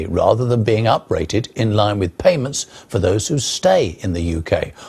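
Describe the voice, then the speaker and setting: Against noticeable background noise, a man with a fairly low voice speaks at a moderate pace with lively intonation. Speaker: news presenter. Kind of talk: TV news presenting and interviewing.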